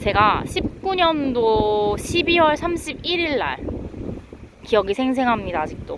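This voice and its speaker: Against noticeable background noise, a woman with a high pitch speaks at a very slow pace, her pitch swinging very widely. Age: 30s. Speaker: vlogger. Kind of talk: casual chat. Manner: spontaneous, unscripted.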